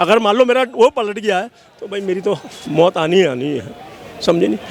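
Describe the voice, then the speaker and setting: Noticeable background noise sits behind a man speaking at a moderate pace. His tone is animated. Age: 60s. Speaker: member of the public interviewed on farmer protests. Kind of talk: street interview opinion.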